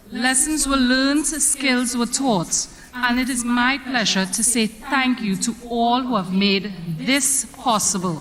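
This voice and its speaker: Over noticeable background noise, a woman with a high pitch speaks at a fairly slow pace, keeping very even loudness and ordinary pitch variation. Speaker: drama association secretary. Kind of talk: vote of thanks speech.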